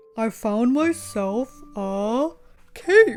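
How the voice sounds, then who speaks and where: A woman uses a put-on character voice pitched fairly high. Faint music sits in the background. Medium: read story. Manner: gentle and good-humored.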